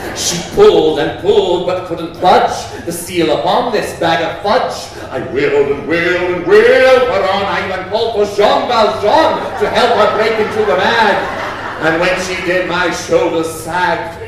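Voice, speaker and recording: A man with a high pitch speaks at a fairly slow pace with ordinary pitch variation. There is strong room echo and noticeable background noise. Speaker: performance poet. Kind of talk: comic rhyming performance poetry. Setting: live on stage in a theatre. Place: stage.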